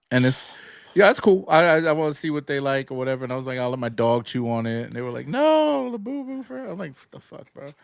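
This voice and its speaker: Very fast and fairly high-pitched, a man talks with ordinary pitch variation and big swings in loudness. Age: 40s. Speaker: sneaker podcast co-host. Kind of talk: casual chat.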